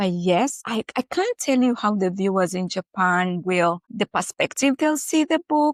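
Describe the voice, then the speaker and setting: In a very clean recording with a silent background and a dry, close sound with no echo, a woman with an East African accent speaks at a fairly slow pace, her medium pitch moving in very wide swings. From Kenya. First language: Swahili. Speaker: author. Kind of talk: interview.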